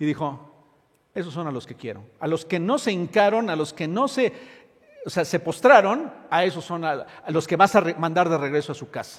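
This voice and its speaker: A high-pitched male voice with lively intonation at a moderate pace. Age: 60s. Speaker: pastor. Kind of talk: sermon. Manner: halting.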